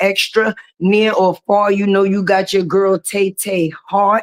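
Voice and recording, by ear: This woman's pitch sits in the medium range. It moves very little.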